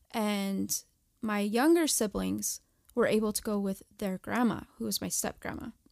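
A woman talks at a moderate pace. The audio is dry and close with no echo, very clean, with a silent background. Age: 30s. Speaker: mother and former surrogate. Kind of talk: interview, personal testimony.

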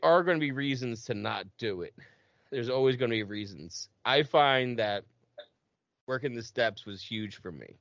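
Here is a plain, everyday voice from a man at medium pitch. He keeps a moderate pace with ordinary pitch variation. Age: 30s. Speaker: podcast host. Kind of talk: casual interview. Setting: video call.

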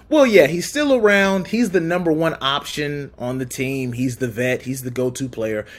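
A man with an unremarkable speaking voice talks at a moderate pace with lively intonation and a fairly high pitch. The recording is very clean, with a silent background. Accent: American. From Southern California. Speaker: sports podcast guest. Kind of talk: casual sports podcast chat.

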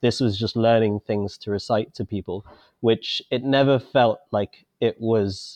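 A normal speaking voice with fairly even intonation comes through dry and close with no echo against a quiet background. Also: man. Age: 30s. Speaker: wine bar owner. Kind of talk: interview.

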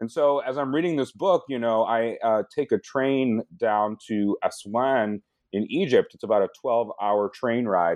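With an American accent, a man speaks at a fairly slow pace, his pitch medium and his pitch variation ordinary. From US Midwest, Michigan. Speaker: historian and author. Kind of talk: academic interview.

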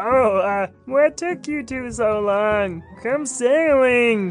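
A put-on character voice, fairly high-pitched, at a very slow pace, with clear music in the background. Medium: actual play. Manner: jolly, carefree.

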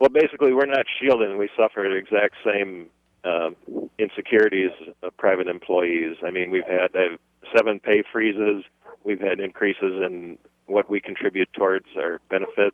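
Speaking in a normal speaking voice, a man with an American accent keeps a moderate pace and ordinary pitch variation. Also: fairly low pitch for a man. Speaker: university employee. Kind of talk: call-in radio comment. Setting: phone call.

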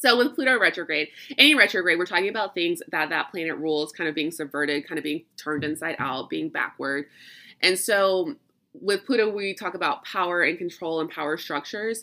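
A woman in a Southern US accent, bright and sharp in tone, with lively intonation and a fairly quick pace, on a very clean recording with a silent background. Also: fairly low pitch for a woman. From US South. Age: 30s. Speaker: witchcraft and astrology podcast host. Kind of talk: casual solo monologue. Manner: chatty, rambling.

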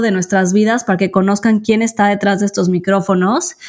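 A female voice, very cleanly recorded against a silent background. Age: 30s. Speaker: podcast co-host. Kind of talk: casual chat.

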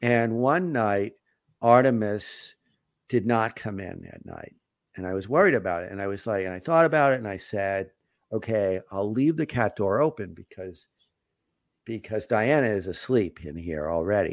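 With a normal speaking voice, a man in an American accent talks at a moderate pace and fairly low pitch, with lively intonation and big swings in loudness. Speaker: podcast host and family therapist. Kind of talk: casual live podcast chat. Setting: live online broadcast.

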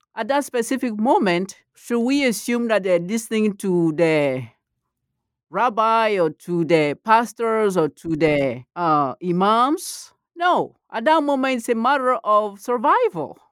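A woman speaks at a fairly slow pace in a West African accent. Her fairly high voice moves in very wide pitch swings. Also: very clean recording, silent background. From Ivory Coast. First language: Malinke. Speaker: professor of comparative literature. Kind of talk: academic interview.

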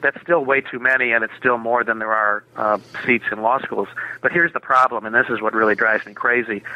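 A man with a medium pitch talks fairly quickly, keeping his intonation fairly even. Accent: American. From Minnesota, US Midwest (Minneapolis). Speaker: lawyer and author. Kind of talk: interview. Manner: halting, many fillers.

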